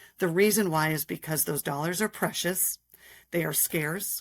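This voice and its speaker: A woman with an American accent speaks at a moderate pace in a normal speaking voice, pitched fairly low. The recording is very clean, with a silent background. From Minnesota. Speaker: state politician. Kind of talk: interview.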